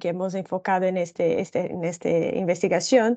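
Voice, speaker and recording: A woman is speaking. She talks with a Brazilian accent. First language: Portuguese (speaking Spanish). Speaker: social protection researcher. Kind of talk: presentation of report findings. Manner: slow, deliberate; halting, many fillers.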